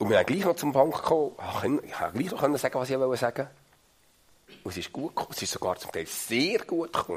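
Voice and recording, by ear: A man with a slightly husky edge, talking at a fast pace with big pitch swings.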